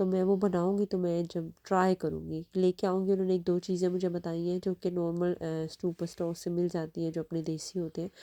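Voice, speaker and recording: The voice is dark and mellow, with a monotone, flat intonation at a moderate pace and hardly any pauses. The sound is dry and close with no echo. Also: woman, fairly low pitch for a woman. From Pakistan. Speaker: family vlogger. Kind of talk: casual vlog narration.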